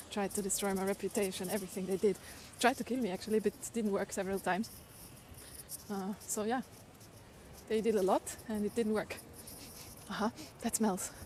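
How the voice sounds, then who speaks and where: A woman with a German accent, medium pitch and monotone, flat intonation, at a fairly quick pace broken by long, frequent pauses. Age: 40s. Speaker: livestreamer. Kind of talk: casual chat. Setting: outdoors.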